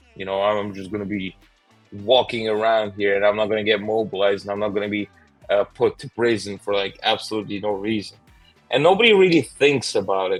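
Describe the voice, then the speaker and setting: Music plays in the background as a man speaks with a Russian accent at a fairly quick pace. His pitch is fairly low and his intonation fairly even. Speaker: YouTuber. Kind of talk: interview answer.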